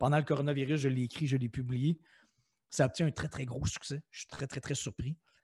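A man's fairly high, somewhat breathy voice with a Quebec accent, fairly even intonation and a fairly quick pace, in a dry, close sound with no echo. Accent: Québécois French. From Quebec City, Quebec. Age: 40s. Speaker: author and motivational speaker. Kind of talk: interview.

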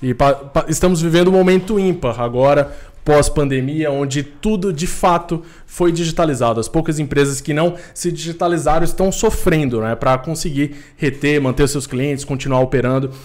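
A man's normal speaking voice, fairly high in pitch, at a moderate pace with ordinary pitch variation. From Recife, Brazil. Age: 20s. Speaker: tech entrepreneur. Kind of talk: casual chat.

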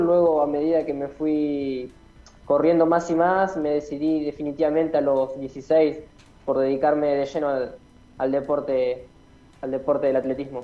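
A man with a normal speaking voice talks at a moderate pace, his pitch fairly high and moving in a typical way. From Santa Fe province, Argentina. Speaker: professional athlete. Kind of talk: interview.

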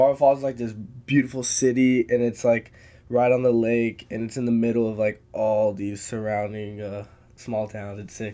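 A man with an American accent speaks at medium pitch and a moderate pace, his dark, mellow tone delivered in a monotone, flat intonation with big swings in loudness. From Texas hill country. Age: 20s. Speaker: MMA fighter. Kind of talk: casual chat.

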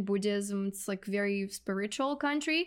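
In a Russian accent, a woman speaks at a moderate pace and medium pitch. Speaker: real estate investor. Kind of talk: podcast interview.

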